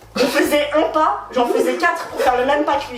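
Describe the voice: Her high voice has ordinary pitch variation, and room echo can be heard around it. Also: fairly quick pace.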